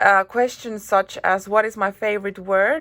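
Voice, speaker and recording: A woman speaks with a Finnish accent. Her tone is bright and sharp. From Finland. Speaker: YouTuber. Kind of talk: casual vlog talk. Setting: hotel room. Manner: hesitant, many fillers.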